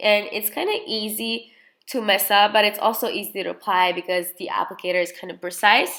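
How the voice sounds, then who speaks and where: Her tone bright and sharp, a woman talks at a moderate pace in a medium voice with ordinary pitch variation. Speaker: beauty vlogger. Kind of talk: makeup tutorial. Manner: casual, halting with self-corrections.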